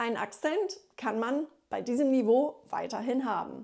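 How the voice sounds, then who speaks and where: A woman speaks in a high pitch with a dark, mellow tone and lively intonation. The recording is very clean, with a silent background. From USA. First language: English (speaking German). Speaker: German teacher and linguist. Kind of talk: tutorial.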